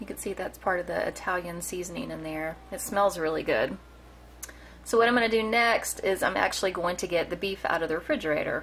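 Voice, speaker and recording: Talking at a fairly quick pace with long, frequent pauses, a woman is heard over noticeable background noise. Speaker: cooking vlogger. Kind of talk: cooking tutorial. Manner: halting, stumbling over words; casual, chatty.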